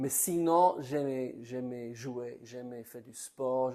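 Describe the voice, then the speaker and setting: A man with an English accent, very slow pace, dark, mellow tone and fairly even intonation. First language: English (speaking French). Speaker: preacher. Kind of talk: sermon. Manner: halting, repeats words.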